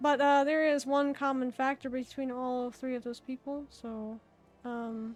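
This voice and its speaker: Her voice is high for a woman, with monotone, flat intonation. She speaks at a fairly slow pace. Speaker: VTuber streamer. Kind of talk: casual livestream chat with viewers. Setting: livestream reading chat. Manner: hesitant, many fillers.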